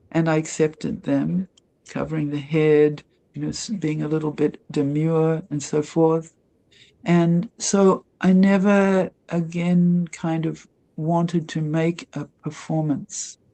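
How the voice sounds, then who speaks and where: Fairly even intonation at a very slow pace, with an Australian accent. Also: woman, fairly low pitch for a woman. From Australia, Melbourne. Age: 70s. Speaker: devotee and former actress. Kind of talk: interview testimony. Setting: livestreamed interview.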